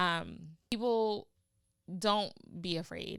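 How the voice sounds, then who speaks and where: In a very clean recording with a silent background, a woman speaks with a bright, sharp, animated tone. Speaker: podcast host. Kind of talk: motivational podcast monologue.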